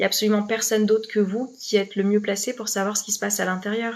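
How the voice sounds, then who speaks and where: A woman speaks at a fairly quick pace and a medium pitch. Her intonation stays fairly even. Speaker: life coach. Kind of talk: live stream talk to viewers. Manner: fast; hesitant, many fillers and repeats.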